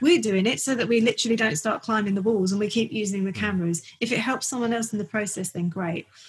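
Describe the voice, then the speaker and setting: Somewhat breathy and fairly high-pitched, a woman with a North London accent talks at a very fast pace. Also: ordinary pitch variation, hardly any pauses. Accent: North London accent, noticeable. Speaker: portrait photographer. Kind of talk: casual interview chat. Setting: home studio, recorded remotely.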